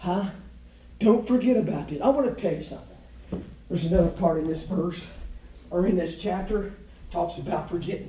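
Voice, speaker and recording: A high-pitched man at a moderate pace, with lively intonation, long, frequent pauses and audible room echo. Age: 50s. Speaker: pastor. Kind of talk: sermon.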